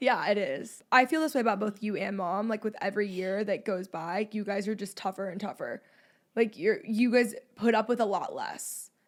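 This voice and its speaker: Talking at a moderate pace with an American accent, a woman with a fairly high pitch has an unremarkable speaking voice with ordinary pitch variation, on a very clean recording with a silent background. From Dallas, Texas. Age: 20s. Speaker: vlogger and podcast host. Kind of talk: interview with her grandmother.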